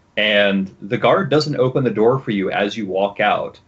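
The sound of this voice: The reading voice is unforced. Its intonation moves in a lively way.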